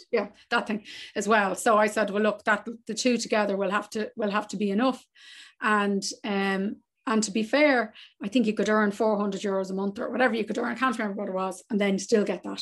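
Speaking fairly quickly in an Irish accent, a woman keeps a fairly high pitch and a monotone, flat intonation against a quiet background. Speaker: travel business owner. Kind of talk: casual interview.

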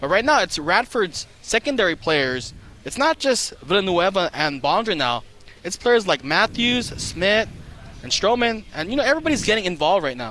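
A man talks in a raised, projected voice at a moderate pace and a high pitch, with very wide pitch swings. Noticeable background noise is present. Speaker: color analyst. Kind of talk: live color commentary, game analysis. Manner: conversational, explanatory, casual with filler words.

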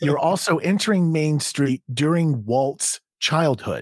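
A man talks at a moderate pace with ordinary pitch variation, the sound dry and close with no echo on a very clean recording with a silent background. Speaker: podcast producer and comedian. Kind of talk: casual chat. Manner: animated.

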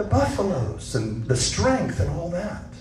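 A man's voice over noticeable background noise. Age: 60s. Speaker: missions pastor. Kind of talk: sermon. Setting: church.

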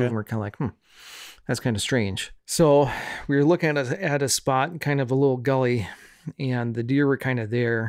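A man with a normal speaking voice and a medium pitch talks at a fairly quick pace with ordinary pitch variation on a very clean recording with a silent background. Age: 40s. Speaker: podcast guest, churchgoer and worship guitarist. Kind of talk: casual chat. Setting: in person, in a house.

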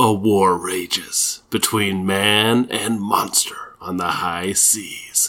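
In a put-on character voice, a man speaks very slowly in a flat monotone with hardly any pauses. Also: fairly low pitch for a man. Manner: dramatic, booming.

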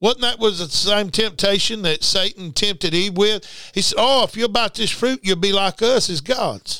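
This man talks in a raised, projected voice with a bright, sharp tone, a high pitch, animated delivery and a moderate pace, on a very clean recording with a silent background. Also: ordinary pitch variation. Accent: Southern US. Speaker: preacher. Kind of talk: sermon. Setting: radio studio. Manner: animated, preacherly; emphatic, repetitive.

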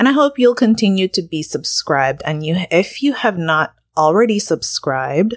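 Her pitch is medium and swings very widely as this woman talks at a moderate pace, with a dry, close sound and no echo. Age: 40s. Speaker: podcast host and social worker. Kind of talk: solo podcast monologue. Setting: home. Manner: casual, with fillers.

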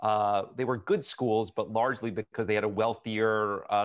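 Using a plain, everyday voice, the speaker talks at a fairly quick pace with fairly even intonation. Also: man. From New Jersey (Edison). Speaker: city mayor. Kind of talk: interview.

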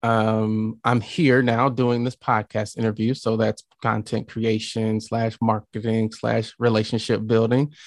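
Against a quiet background, a man with an American accent speaks at medium pitch and a fairly slow pace in a monotone, flat intonation. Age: 30s. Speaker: podcasting agency owner. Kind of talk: interview.

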